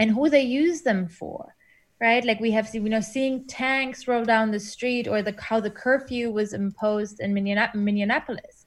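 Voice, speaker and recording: The voice is somewhat breathy, with ordinary pitch variation. It is a very clean recording with a silent background. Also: woman, fairly high pitch for a woman, moderate pace. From Germany. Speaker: academic. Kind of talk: interview.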